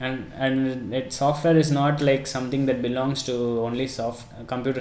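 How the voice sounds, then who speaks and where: A man talks at a medium pitch, and the room's echo is audible. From India, Chennai. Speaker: automotive engineer and educator. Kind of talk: podcast interview.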